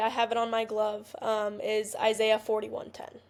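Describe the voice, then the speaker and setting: In an American accent, a woman with an ordinary speaking voice talks at a moderate pace and a fairly high pitch on a very clean recording with a silent background. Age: 20s. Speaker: college softball player. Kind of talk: podcast interview.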